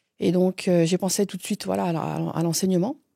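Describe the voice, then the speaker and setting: On a very clean recording with a silent background, a woman speaks at a medium pitch in a flat, monotone delivery. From Franche-Comté, eastern France. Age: 40s. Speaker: closer, former pastry chef. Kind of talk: interview, personal story. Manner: hesitant, many fillers.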